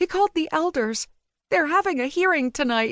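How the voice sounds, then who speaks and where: A woman performs a put-on character voice at an extremely high pitch. She keeps to a moderate pace. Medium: read story.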